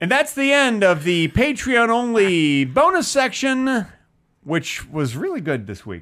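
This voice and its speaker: In a very clean recording with a silent background, a man speaks at a fairly slow pace. His high pitch swings very widely, and his tone is bright and sharp. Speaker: comedy podcast co-host. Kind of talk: casual chat. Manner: presentational, announcer-like delivery.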